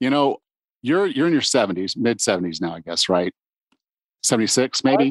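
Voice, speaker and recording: In a dry, close sound with no echo, a man at medium pitch talks at a fairly quick pace with vocal fry, very wide pitch swings and long, frequent pauses. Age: 50s. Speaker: fitness podcast host. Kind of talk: podcast interview; scripted introduction.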